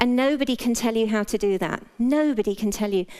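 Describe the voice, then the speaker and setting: The voice belongs to a woman with a British accent. Her pitch is fairly high. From Britain. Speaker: health practitioner giving a talk. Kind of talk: talk to a live audience. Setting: stage with audience, wearing a mic. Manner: casual, humorous.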